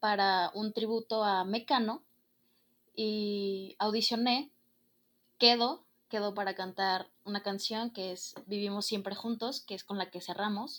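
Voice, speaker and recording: The recording is very clean, with a silent background. A woman with an unremarkable speaking voice speaks at a fairly high pitch with ordinary pitch variation. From Mexico, Guadalajara, Jalisco. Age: young. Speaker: student and stage manager. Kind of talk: casual chat.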